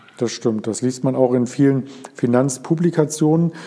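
Noticeable background noise sits behind this recording. A man talks at medium pitch and a moderate pace. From Berlin area. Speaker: podcast host. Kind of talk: interview.

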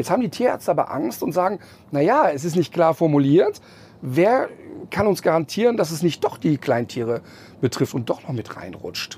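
Very wide pitch swings run through a man's speech at a fairly high pitch. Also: moderate pace. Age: 50s. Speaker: animal welfare presenter. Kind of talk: interview. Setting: in a tour bus.

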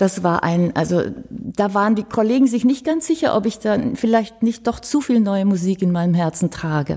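Her voice has a dark, mellow tone at a medium pitch, somewhat breathy, with lively intonation, very even loudness and a moderate pace. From Romania, German minority family. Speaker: violinist. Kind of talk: casual interview. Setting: ensemble house.

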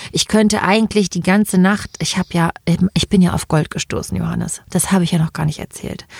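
A woman talks fairly quickly with fairly even intonation, the sound dry and close with no echo but with noticeable background noise. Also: medium pitch for a woman. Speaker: podcast co-host, actor and union candidate. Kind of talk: casual chat.

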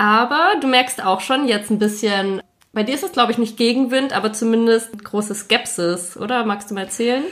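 A woman speaks at a moderate pace in a fairly high voice. It is a normal speaking voice, with ordinary pitch variation. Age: 20s. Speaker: podcast host and army officer. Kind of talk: casual chat.

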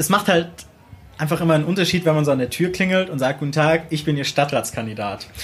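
A man speaks in a plain, everyday voice with a fairly high pitch. His pitch rises and falls in an ordinary way. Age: 20s. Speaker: local council candidate, student. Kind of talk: interview.

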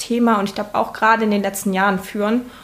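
A woman speaks very fast at a medium pitch with monotone, flat intonation. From eastern Germany, Saxony-Anhalt. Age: 20s. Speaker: state parliament member. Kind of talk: interview. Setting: home kitchen.

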